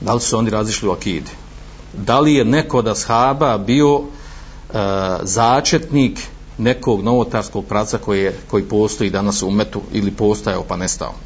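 A man speaks at a fairly low pitch with ordinary pitch variation. There is audible room echo and noticeable background noise. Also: moderate pace. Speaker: Islamic preacher. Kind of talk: lecture. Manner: halting, frequent fillers.

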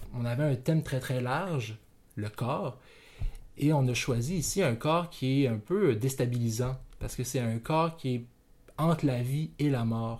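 A man's somewhat breathy voice at medium pitch, very slow, with ordinary pitch variation, on a very clean recording with a silent background. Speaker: podcast host. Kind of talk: casual narration.

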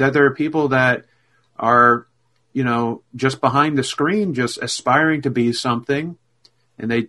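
A man speaks slowly at a medium pitch with a bright, sharp tone.

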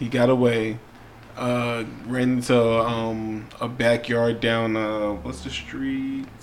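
A man's medium-pitched, monotone voice with flat intonation at a very slow pace, over noticeable background noise. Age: 30s. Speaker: podcast co-host. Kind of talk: casual chat.

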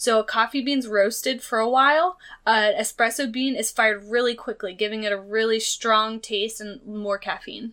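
A woman talks at a moderate pace with hardly any pauses, her pitch fairly high. The recording is very clean, with a silent background. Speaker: podcast co-host. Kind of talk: casual chat. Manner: talkative, animated.

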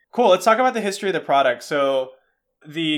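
A man with an American accent, a bright, sharp tone and ordinary pitch variation. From US, Cantonese-speaking household. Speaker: podcast host. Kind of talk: casual chat.

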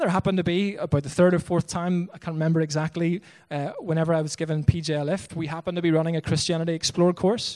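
A man with a Northern Irish accent at a very fast pace, high in pitch and monotone and flat in intonation, with hardly any pauses. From Northern Ireland, Bangor. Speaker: missionary pastor. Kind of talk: sermon. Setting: church.

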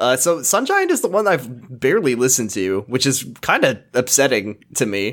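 The speaker is a man with an American accent and a medium pitch. The recording is very clean, with a silent background. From US Pacific Northwest. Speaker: podcaster. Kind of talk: casual chat.

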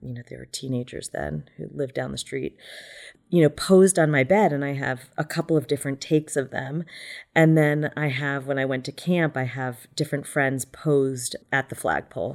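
In a very clean recording with a silent background, a woman speaks at a very deep, low pitch and a moderate pace. Her pitch variation is ordinary, while her loudness swings widely. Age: 40s. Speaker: photographer. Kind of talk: interview.

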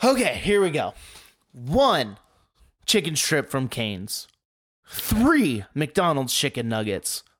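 Very slowly and with long, frequent pauses, a man speaks in a fairly high voice whose pitch swings very widely, recorded very cleanly against a silent background. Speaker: podcast co-host. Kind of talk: casual banter about wrestling.

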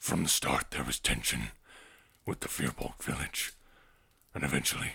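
A man puts on a character voice with a solemn tone. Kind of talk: tabletop character voice. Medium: actual play. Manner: terse, solemn, proud.

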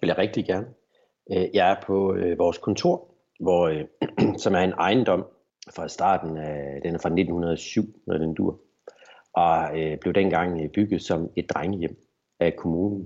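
A man speaks at a very slow pace with long, frequent pauses. His pitch is very deep and low. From Denmark, Horsens (East Jutland). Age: 40s. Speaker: business owner. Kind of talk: interview. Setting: video call. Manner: halting.

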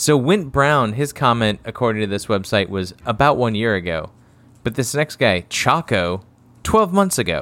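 With lively intonation and a medium pitch, a man talks at a moderate pace in a very clean recording against a silent background. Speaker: podcast co-host. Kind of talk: casual chat. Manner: quiet tonight.

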